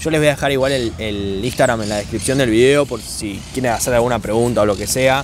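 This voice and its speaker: Speaking at a fairly quick pace with hardly any pauses, a man with a medium-pitched voice and a Rioplatense accent is heard in a dry recording with no echo and noticeable background noise. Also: ordinary pitch variation. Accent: Argentine Rioplatense Spanish. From Argentina, La Plata. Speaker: YouTuber interviewer. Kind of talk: interview. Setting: outdoors in a park. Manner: animated. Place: forest.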